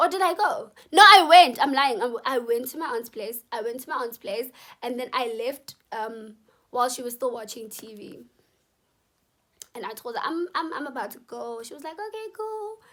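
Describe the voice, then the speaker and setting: A woman's high, bright, sharp voice at a moderate pace, with very wide pitch swings and big swings in loudness. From South Africa. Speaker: YouTuber. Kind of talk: storytime monologue. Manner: animated.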